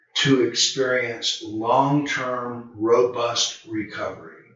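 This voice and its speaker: Audible room echo frames a man with a Southern US accent. He speaks at a very slow pace. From US South, Charlotte, North Carolina. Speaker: addiction treatment counselor. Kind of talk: video talk to camera. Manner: relaxed, conversational with fillers.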